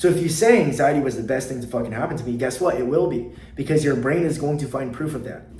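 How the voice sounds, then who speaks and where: Talking at a very fast pace, a man has a fairly high pitch and ordinary pitch variation. Audible room echo is in the recording. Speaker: anxiety coach. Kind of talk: motivational talk to camera. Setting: sitting at a desk. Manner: unscripted, from the heart.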